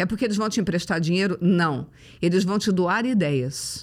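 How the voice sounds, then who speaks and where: At a fairly quick pace, a woman talks with lively intonation in a medium pitch, a normal speaking voice in a very clean recording with a silent background. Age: 50s. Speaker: motivational speaker. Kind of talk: casual chat.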